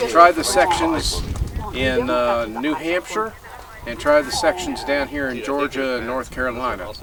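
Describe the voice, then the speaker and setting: Amid noticeable background noise, a man with a fairly high pitch speaks at a fairly slow pace with lively intonation. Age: 60s. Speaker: hiker. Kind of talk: interview.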